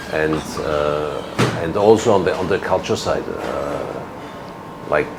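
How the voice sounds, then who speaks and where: A man's very deep, low voice with a German accent, fairly slow pace, audible room echo and noticeable background noise. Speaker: ambassador. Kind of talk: interview. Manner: halting, many repeats and fillers.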